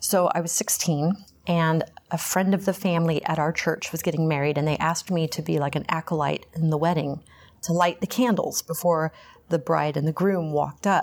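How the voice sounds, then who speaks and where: Talking at a fairly quick pace, a woman with an American accent has an unremarkable speaking voice, a fairly low pitch and fairly even intonation. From Texas, Houston. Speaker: recovering alcoholic, Pilates instructor. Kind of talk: testimony interview. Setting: meeting hall after a meeting.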